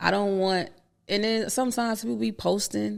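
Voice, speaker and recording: Someone with a Florida accent speaks at a moderate pace in a very clean recording with a silent background. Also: woman. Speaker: rapper and actress. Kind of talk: podcast interview. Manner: casual, slangy.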